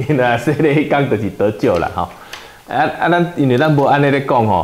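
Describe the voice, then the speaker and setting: Speaking in a Taiwanese accent, a man uses a fairly high pitch and lively intonation. His loudness stays very even throughout. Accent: Taiwanese Hokkien. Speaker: pastor leading Bible study. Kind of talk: Bible study teaching. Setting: church. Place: meeting room. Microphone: lapel.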